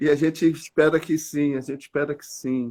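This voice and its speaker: A man speaks with ordinary pitch variation. His pitch sits fairly high. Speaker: church leader. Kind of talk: casual chat. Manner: soft-spoken.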